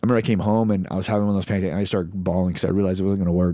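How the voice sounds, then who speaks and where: Very deep, low male voice in a Midwestern American accent, dark and mellow, with monotone, flat intonation. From US Midwest (Lawrence, Kansas). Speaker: army veteran and leadership speaker. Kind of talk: casual chat.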